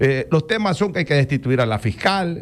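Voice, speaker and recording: Lively intonation carries a man's unremarkable speaking voice. His pace is fairly quick. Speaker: radio host. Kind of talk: radio interview.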